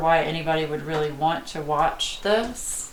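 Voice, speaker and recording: A woman with a Southern US accent speaks at a fairly slow pace. The recording has audible room echo and noticeable background noise. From US South. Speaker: art youtuber. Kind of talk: live stream chat. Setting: home, live stream. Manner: casual, hesitant with fillers.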